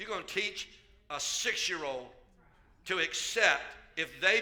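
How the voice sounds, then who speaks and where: At a fairly slow pace, a man delivers his words. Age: 70s. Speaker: pastor. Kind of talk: sermon. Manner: animated.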